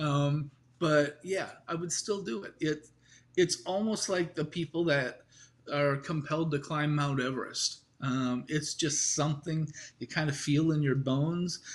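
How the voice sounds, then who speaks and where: This man speaks with an American accent at a fairly slow pace, his pitch fairly high. His voice is somewhat breathy, and his intonation stays fairly even. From US Midwest, Iowa. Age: 60s. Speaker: sailor. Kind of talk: interview.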